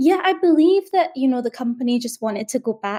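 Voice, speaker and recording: A dark, mellow tone in a Scottish accent. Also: woman. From Scotland, Glasgow. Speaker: journalist. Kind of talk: interview.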